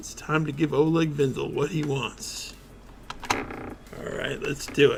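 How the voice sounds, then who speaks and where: A man speaks in a put-on character voice, raspy and fairly high-pitched, at a moderate pace with long, frequent pauses. His loudness swings widely, and background noise is clearly audible. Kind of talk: hard-boiled voice-over. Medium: solo performance. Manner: terse, dry.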